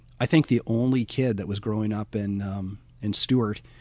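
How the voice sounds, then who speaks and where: This man has a Canadian accent and an ordinary speaking voice, pitched fairly low with fairly even intonation. He talks at a fairly slow pace against a quiet background. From British Columbia, Canada. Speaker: school educator. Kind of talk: interview.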